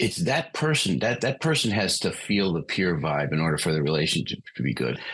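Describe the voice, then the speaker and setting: A man speaks at a fairly quick pace in a very deep, low pitch with vocal fry. His pitch swings very widely while his loudness stays very even. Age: 60s. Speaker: recovery coach trainer. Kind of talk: podcast interview. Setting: podcast.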